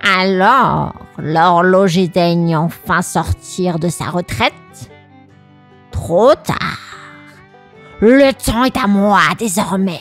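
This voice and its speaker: A female-sounding put-on character voice at a very slow pace, faint music in the background. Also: medium pitch for a woman. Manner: sinister, menacing.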